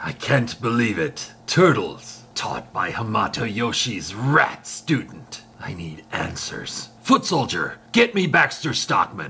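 A man at a medium pitch speaks at a fairly slow pace with hardly any pauses, very wide pitch swings and big swings in loudness. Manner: commanding, impatient.

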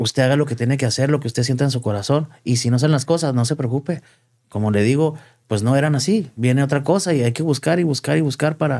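Against a quiet background, a man talks very fast at a fairly high pitch, with ordinary pitch variation and very even loudness. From Chihuahua, Mexico. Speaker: entertainment show host and marketer; podcast guest. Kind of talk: interview. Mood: reflective, earnest. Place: studio. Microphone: studio mic.

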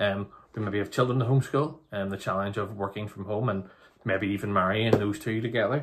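Through light background noise, a man speaks at a fairly quick pace in a fairly low, somewhat breathy voice with ordinary pitch variation. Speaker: speaker. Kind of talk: sermon. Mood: calm, pastoral. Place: home room. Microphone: phone near.

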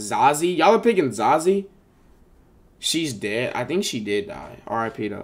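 Speaking at a fairly slow pace, a man with vocal fry and a fairly high pitch makes very wide pitch swings and big swings in loudness. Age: 20s. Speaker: live streamer. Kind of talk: casual live stream chat reacting to viewers. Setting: live stream on camera. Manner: animated. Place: home room. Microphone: headset.

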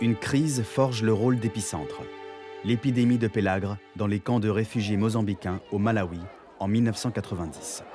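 Music plays in the background as a man with a fairly low pitch talks at a moderate pace with ordinary pitch variation. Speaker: voice-over narrator, stage actor. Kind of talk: documentary narration.

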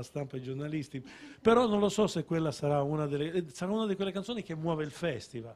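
A man talks at a fairly quick pace with ordinary pitch variation. It is a normal speaking voice. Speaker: songwriter; guest. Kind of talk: casual chat.

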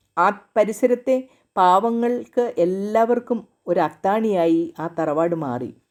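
In a very clean recording with a silent background, a woman uses a normal speaking voice at medium pitch with lively intonation. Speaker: storyteller. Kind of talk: reading aloud.

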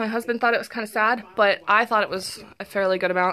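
Her tone is bright and sharp. The woman's pitch varies in an ordinary way. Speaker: vlogger. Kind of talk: casual vlog chat. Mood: upbeat, pleased. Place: home room. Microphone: phone near.

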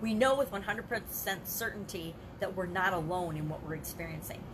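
A woman at medium pitch and a moderate pace, with ordinary pitch variation and noticeable background noise. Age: 50s. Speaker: life coach. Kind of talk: live video monologue. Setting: livestream. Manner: casual, conversational. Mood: earnest, personal, encouraging. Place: home room. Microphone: webcam.

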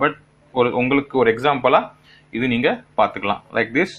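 This man talks with a non-native accent and ordinary pitch variation. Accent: non-native Tamil. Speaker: tech gadget reviewer. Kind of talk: product demo talk to camera. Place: home room. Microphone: phone near.

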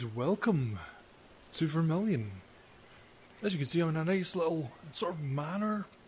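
A man with a Scottish accent and a fairly high voice talks at a moderate pace in a calm, relaxed tone with lively intonation and long, frequent pauses, over light background noise. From Scotland. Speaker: gamer channel host. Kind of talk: casual gameplay commentary to camera. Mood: relaxed, lightly joking. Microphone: headset.

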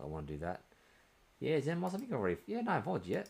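Very fast speech in an Australian accent, with vocal fry and very wide pitch swings. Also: man. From Australia, New South Wales. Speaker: video game streamer. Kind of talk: live gameplay stream chat. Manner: casual, hesitant with many fillers. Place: home room.

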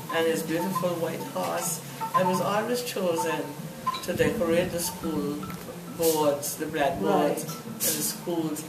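A woman talks at a fairly slow pace with music playing in the background. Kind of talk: interview answer. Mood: warm, fond reminiscing. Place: home room.

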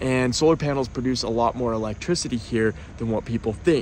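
A man's voice with ordinary pitch variation, dry and echo-free, over light background noise. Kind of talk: casual vlog chat. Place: car. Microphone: earbuds.

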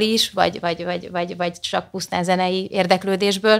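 In a quiet setting, a woman with a fairly low pitch speaks at a very fast pace. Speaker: marketing director; guest. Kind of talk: casual chat. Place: studio. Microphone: studio mic.

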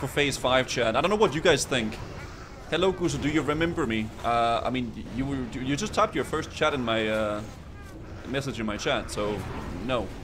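A man speaks at a moderate pace with a medium pitch and lively intonation, over noticeable background noise. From Denmark. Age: 20s. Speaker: video game streamer. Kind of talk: live gameplay stream chat. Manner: casual, animated. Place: home room. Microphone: studio mic.

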